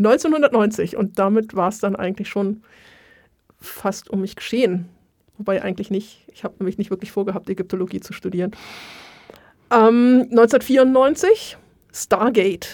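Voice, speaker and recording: A woman's medium-pitched voice at a fairly slow pace, with ordinary pitch variation, big swings in loudness, and long, frequent pauses. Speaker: Egyptologist and museum worker. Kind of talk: casual chat.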